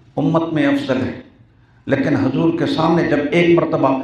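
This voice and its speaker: The man's pitch is fairly high. Audible room echo and noticeable background noise surround him. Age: 70s. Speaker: Islamic scholar and hadith teacher. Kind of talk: religious speech. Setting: speech at a religious course gathering.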